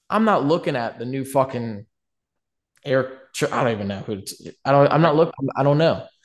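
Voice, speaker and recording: A man with a normal speaking voice, medium pitch, lively intonation and moderate pace, over a quiet background. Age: 20s. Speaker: rap songwriter and gamer. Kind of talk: casual chat.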